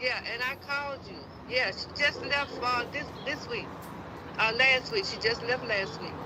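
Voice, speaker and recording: Against noticeable background noise, a woman with a high pitch speaks at a fairly slow pace, with ordinary pitch variation and big swings in loudness. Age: 60s. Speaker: mother of a missing woman. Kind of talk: interview. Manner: halting.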